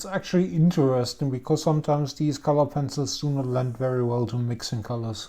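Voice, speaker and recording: Someone with a German accent speaks at a fairly quick pace. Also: hardly any pauses. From Germany. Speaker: art supplies reviewer. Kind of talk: product review chat.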